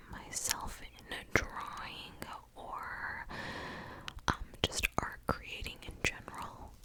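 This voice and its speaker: A woman whispers at a very slow pace, with noticeable background noise behind her. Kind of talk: ASMR ramble and advice, casual talk to camera. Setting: close-mic recording at night. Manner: whispered, close-up.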